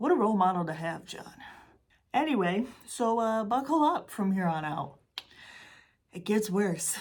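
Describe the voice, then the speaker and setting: With a Michigan accent, a woman speaks at a moderate pace in a fairly high pitch that swings very widely. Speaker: true crime YouTuber. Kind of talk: casual true crime talk to camera. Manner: casual, chatty, sarcastic.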